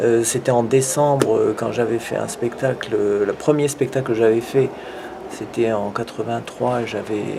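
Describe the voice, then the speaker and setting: A man speaks fairly slowly at a medium pitch, his intonation fairly even, with noticeable background noise behind him. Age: 60s. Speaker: live performance painter. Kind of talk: interview. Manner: halting, many hesitations.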